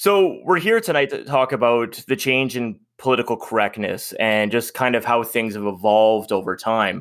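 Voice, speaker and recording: In a very clean recording with a silent background, a man with a Canadian accent and an ordinary speaking voice talks at a moderate pace and medium pitch, with lively intonation and hardly any pauses. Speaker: podcast host. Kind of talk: casual chat.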